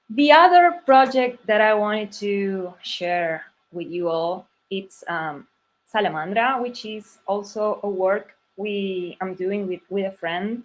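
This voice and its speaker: A woman speaks very slowly with a Spanish accent, her pitch medium and her intonation lively. Her loudness swings widely. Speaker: type designer. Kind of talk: conference talk. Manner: halting.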